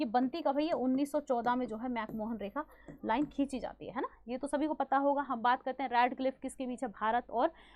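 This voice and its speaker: Loud and fairly quick, a woman talks in a high voice with fairly even intonation. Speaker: online exam-prep teacher. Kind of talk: online class lecture.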